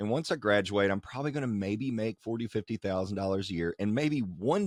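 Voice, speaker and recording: This man talks in a Kentucky accent at a fairly low pitch, with lively intonation. The sound is dry and close with no echo, over a quiet background. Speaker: wedding photographer and educator. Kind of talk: casual interview. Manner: enthusiastic.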